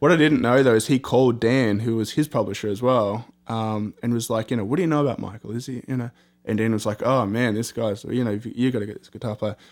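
A man with an Australian accent and medium pitch, very fast with hardly any pauses, on a very clean recording with a silent background. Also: big swings in loudness. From Australia, Sydney. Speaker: rock band guitarist. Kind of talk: interview. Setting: recording studio.

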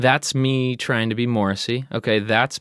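An unremarkable speaking voice from a man at a medium pitch and a fairly slow pace, with fairly even intonation, in a very clean, dry, close recording with no echo and a silent background. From New Jersey. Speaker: rock band singer and lyricist. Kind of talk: casual interview chat. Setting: studio.

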